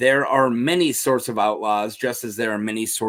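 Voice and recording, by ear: A voice is reading aloud in a natural voice.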